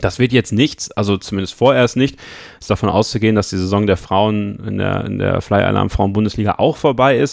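This man talks at a fairly quick pace with vocal fry and a fairly low pitch. His pitch variation is ordinary. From Münsterland, Germany. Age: 20s. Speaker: podcast co-host. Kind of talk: casual chat.

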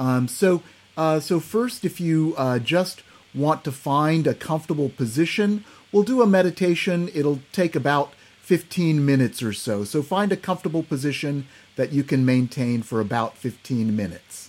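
This man has a plain, everyday voice, pitched fairly high. His intonation is lively. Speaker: psychiatrist and meditation teacher. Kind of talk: guided meditation. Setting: video call. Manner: slow, calm, soothing; gentle, instructive, with pauses.

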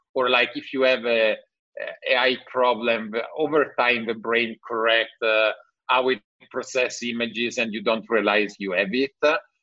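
A man with an Italian accent talks at a moderate pace. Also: medium pitch for a man. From Italy (Milan). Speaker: tech entrepreneur. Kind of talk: interview. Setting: video call.

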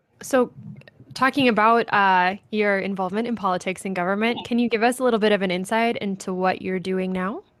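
A woman's medium-pitched voice in an Upper Midwest accent, fairly quick and fairly even in intonation. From North Dakota (Ray). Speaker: podcast host. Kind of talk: interview.

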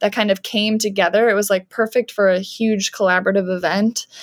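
In a Canadian accent, a woman talks at a fairly quick pace with a fairly high pitch and an ordinary speaking voice. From Canada. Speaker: art professor and printmaker. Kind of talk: casual interview chat.

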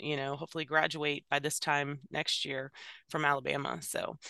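A woman with an American accent and a bright, sharp tone speaks at a moderate pace, the sound dry and close with no echo against a quiet background. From Virginia. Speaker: emergency dispatch training coordinator. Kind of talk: interview conversation.

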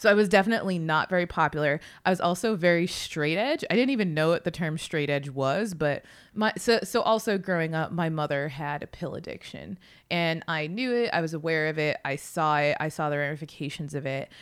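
In an American accent, a woman with an ordinary speaking voice talks at a fairly quick pace, fairly low in pitch with ordinary variation, on a very clean recording with a silent background. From Massachusetts. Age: 30s. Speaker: author. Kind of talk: interview.

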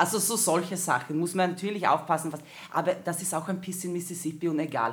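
A woman with a Swedish accent speaks at a very fast pace. Her pitch is fairly low. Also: ordinary pitch variation. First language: Swedish (speaking German). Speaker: performer and comedian. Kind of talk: casual chat.

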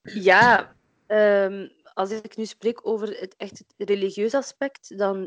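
A woman at a medium pitch with fairly even intonation, in a dry, close sound with no echo. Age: 20s. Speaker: midwife and workshop founder. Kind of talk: interview. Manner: hesitant, many filler sounds.

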